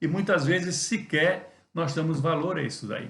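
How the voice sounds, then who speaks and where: Fairly high male voice with audible room echo. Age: 60s. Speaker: pastor. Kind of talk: devotional sermon talk. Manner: conversational with hesitations.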